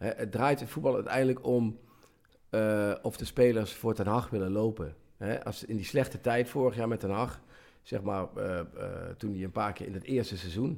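On a very clean recording with a silent background, a man speaks in a normal speaking voice. His pace is moderate, his pitch medium, with ordinary pitch variation. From Midden-Limburg, Netherlands. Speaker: football journalist. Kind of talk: casual chat.

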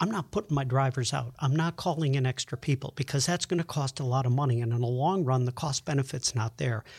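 A somewhat breathy man, with dry, close sound, no echo, and a very clean recording on a silent background. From Buffalo, New York. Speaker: meteorologist. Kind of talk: interview.

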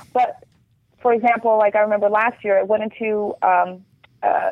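A woman talks at a medium pitch and a moderate pace. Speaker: TV lifestyle reporter. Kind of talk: casual chat. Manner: animated.

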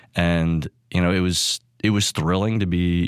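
A man with an American accent talks fairly slowly in a very deep, low voice with fairly even intonation. The sound is dry and close with no echo in a very clean recording with a silent background. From Texas (Austin). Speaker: meteorology professor. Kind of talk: interview.

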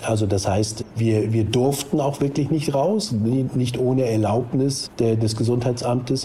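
Fairly slow male speech with noticeable background noise and audible echo from the room. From northern Germany, near Hamburg. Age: 60s. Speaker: recovered Covid-19 patient. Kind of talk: phone interview. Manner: halting.

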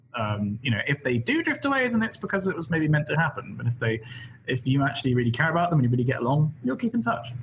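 Very fast, lively-intoned speech from a man with a southwest English accent and a fairly high pitch, over noticeable background noise. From West Country, England. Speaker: PhD student and YouTuber. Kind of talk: casual chat in live Q&A stream. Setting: live stream video call.

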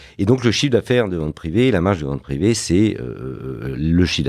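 A man with a very deep, low voice talks at a moderate pace, his pitch swinging very widely over noticeable background noise. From Paris suburbs, France (Fontenay-sous-Bois). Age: 50s. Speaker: entrepreneur and investor. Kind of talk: interview. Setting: his office. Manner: hesitant, repeats words.

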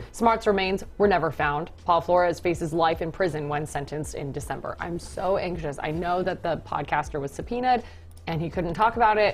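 A woman speaks at a fairly quick pace with a fairly low pitch and vocal fry. Her pitch varies in an ordinary way. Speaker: TV news show host. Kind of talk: casual banter on a live TV news show. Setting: TV studio. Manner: joking, playful.

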